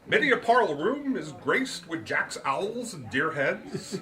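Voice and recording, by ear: Putting on a character voice, a man talks at a fairly slow pace and fairly high pitch, swinging his pitch widely in a bright, sharp tone with audible room echo.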